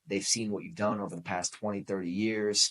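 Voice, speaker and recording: Against a quiet background, a man with a fairly low pitch talks at a fairly quick pace with ordinary pitch variation. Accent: Boston. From New England (Boston). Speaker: podcast host. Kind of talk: motivational podcast monologue. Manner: animated.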